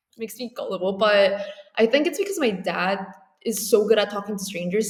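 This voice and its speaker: Animated in tone, a woman speaks at a fairly high pitch. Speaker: artist and philosopher. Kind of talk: podcast interview.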